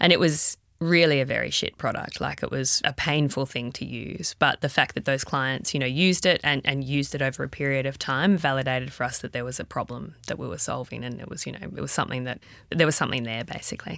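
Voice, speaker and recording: A woman with an Australian accent speaks at a very fast pace, with hardly any pauses and vocal fry. Her pitch is very deep and low with ordinary variation, and the recording is very clean with a silent background. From regional Victoria, Australia. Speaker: startup founder and CEO. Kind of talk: interview.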